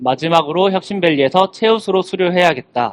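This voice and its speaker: An unremarkable speaking voice moves at a fairly quick pace with ordinary pitch variation, recorded dry and close with no echo. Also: man. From South Korea, Gimhae (Gyeongnam). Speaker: young farmer, speaker. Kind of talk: talk to students. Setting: stage with audience.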